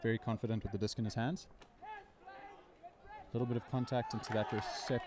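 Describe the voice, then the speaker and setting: A man speaks at a fairly quick clip with a medium pitch and ordinary pitch variation. Background noise is noticeable. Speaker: sports commentator. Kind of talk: live commentary. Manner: stutter.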